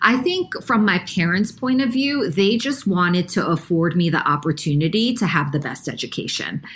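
Speaking in an American accent, a woman with a medium pitch moves at a moderate pace with very wide pitch swings and hardly any pauses. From New York. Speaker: nonprofit CEO. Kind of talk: interview.

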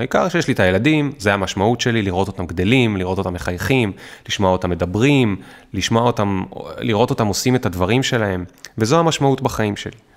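A man talking at a very fast pace with lively intonation. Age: 30s. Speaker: startup founder and author. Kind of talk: casual interview.

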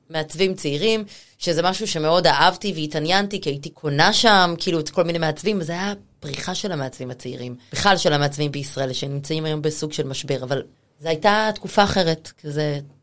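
This woman talks at a fairly quick pace, her fairly low voice showing ordinary pitch variation. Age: 40s. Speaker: personal stylist. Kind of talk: casual chat. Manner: animated.

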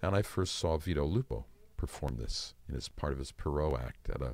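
A man talks at a moderate pace in a very deep, low pitch. Vocal fry runs through his voice. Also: very clean recording, silent background. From US Midwest (Ann Arbor, Michigan). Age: 70s. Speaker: magician. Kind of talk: interview. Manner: soft-spoken.

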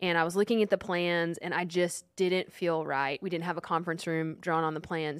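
In a very clean recording with a silent background, a woman with a Texan accent speaks at a fairly quick pace and fairly low pitch, her intonation monotone and flat, with hardly any pauses. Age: 30s. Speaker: podcast co-host and fitness company co-founder. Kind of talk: casual chat. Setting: studio.

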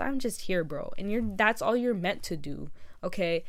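A woman speaks in a fairly high pitch with vocal fry. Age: 18. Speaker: podcast host. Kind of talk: casual monologue. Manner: fast.

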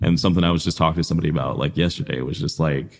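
Talking at a very fast pace, a man with a Midwestern US accent has a very deep, low pitch and vocal fry. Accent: US Midwest. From Iowa, Des Moines east side. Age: 20s. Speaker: podcaster and small business marketer. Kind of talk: casual interview chat.

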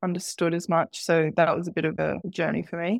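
A woman at a fairly slow pace, with a dry, close sound free of echo on a very clean recording with a silent background. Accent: Australian. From Sydney, Australia (part of childhood in Qatar). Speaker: marketing manager. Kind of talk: interview.

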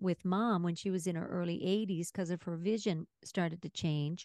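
A woman's normal speaking voice at a medium pitch and fairly quick pace, with a dry, close sound and no echo. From Newfoundland, Canada. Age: 60s. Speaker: podcast co-host. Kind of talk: casual chat.

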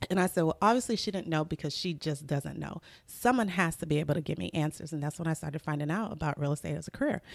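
A woman with a very deep, low pitch and vocal fry speaks at a very fast pace with ordinary pitch variation. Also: hardly any pauses. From Nigeria, Lagos. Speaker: real estate agent. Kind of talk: interview conversation.

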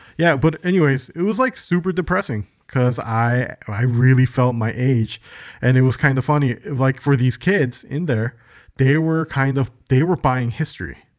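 A man with an American accent and a plain, everyday voice speaks at medium pitch and a moderate pace. His pitch variation is ordinary, and the recording is very clean with a silent background. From Chicago, US. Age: 40s. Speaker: podcast co-host. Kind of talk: casual chat.

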